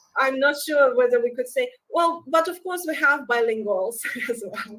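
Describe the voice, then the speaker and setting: A woman with a Russian accent, a high pitch and lively intonation, at a moderate pace. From Belarus. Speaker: researcher. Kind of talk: conference Q&A. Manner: halting, many hesitations.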